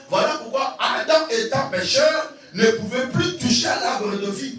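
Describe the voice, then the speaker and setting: A man speaks very slowly with lively intonation, his voice carrying audible room echo over music in the background. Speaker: evangelist pastor. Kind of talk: sermon. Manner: slow, deliberate.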